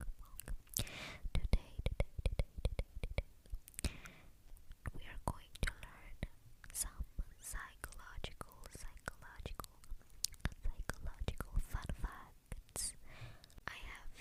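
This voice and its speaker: Someone whispers at a very slow pace, leaving long, frequent pauses. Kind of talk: ASMR whispered facts. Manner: whispered, soft; repetitive.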